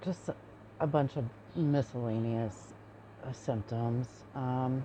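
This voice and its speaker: Soft-spoken and very slow, a woman talks at a very deep, low pitch in a dark, mellow tone with ordinary pitch variation. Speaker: chronic pain patient. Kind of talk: personal testimony. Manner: hesitant with fillers.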